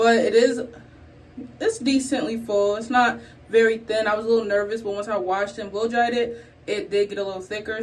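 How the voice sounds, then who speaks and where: A woman with a fairly high pitch keeps her intonation fairly even over noticeable background noise. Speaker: beauty content creator. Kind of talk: tutorial. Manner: casual, chatty.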